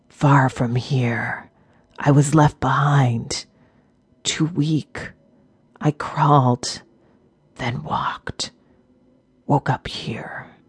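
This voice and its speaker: A raspy, put-on character voice speaks at a low-to-middle pitch. The pace is very slow, with long, frequent pauses. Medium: read story. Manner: terse, clipped, grim.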